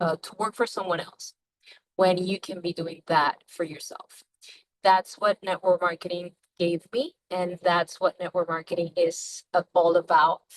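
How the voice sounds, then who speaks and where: A woman's fairly low, monotone voice at a fairly slow pace, with big swings in loudness, in a dry, close sound with no echo. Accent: non-native. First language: not English. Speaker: network marketer. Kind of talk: sales pitch. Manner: halting.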